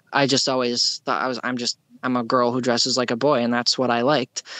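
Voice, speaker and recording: At a fairly quick pace, a woman speaks with a very deep, low pitch. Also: dry, close sound with no echo. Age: 20s. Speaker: guest sharing detransition story. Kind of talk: interview testimony. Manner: halting, many fillers.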